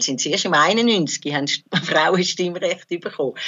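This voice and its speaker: A woman with a very deep, low pitch talks at a moderate pace over noticeable background noise. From Switzerland, Zurich area. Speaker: psychoanalyst and activist. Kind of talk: interview, personal recollection.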